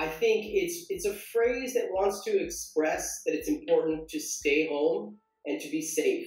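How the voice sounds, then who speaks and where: Over music in the background and audible room echo, a man with an American accent speaks at a fairly slow pace. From US West Coast, San Diego, California. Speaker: English teacher. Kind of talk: online language lesson. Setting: online live stream.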